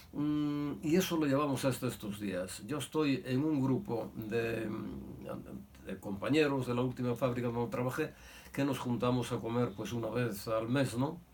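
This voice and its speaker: Medium pitch from a man at a fairly slow pace, with ordinary pitch variation and audible room echo. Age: 80s+. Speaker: son of a victim of Franco-era repression. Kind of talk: testimony. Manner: halting.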